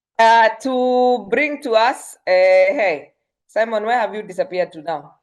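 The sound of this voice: A woman at a fairly high pitch and a fairly slow pace. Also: ordinary pitch variation.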